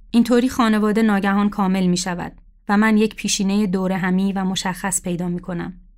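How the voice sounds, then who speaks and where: A woman's medium-pitched, monotone and flat delivery at a fairly quick pace, on a very clean recording with a silent background. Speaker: writer. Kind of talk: reading aloud.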